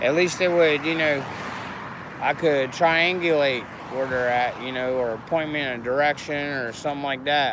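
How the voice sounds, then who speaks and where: A man with an American accent, fairly high in pitch and fairly slow, over noticeable background noise. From Florida. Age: 50s. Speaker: activist livestreamer, veteran. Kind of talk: casual livestream monologue. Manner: soft.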